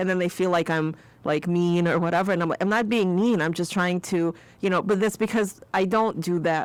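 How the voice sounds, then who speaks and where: On a very clean recording with a silent background, a woman with a fairly low voice talks at a fairly quick pace, her intonation fairly even and her loudness very even. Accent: slight Eastern European. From Eastern Europe. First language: Eastern European language. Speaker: podcast host and college instructor. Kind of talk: podcast interview. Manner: casual.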